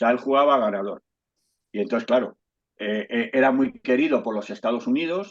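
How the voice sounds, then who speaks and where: With lively intonation, a plain, everyday voice speaks at a fairly quick pace. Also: man. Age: 60s. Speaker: historical memory activist, invited speaker. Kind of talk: talk in an online discussion. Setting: video call.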